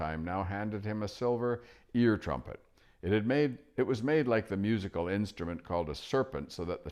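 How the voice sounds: Reading in a natural voice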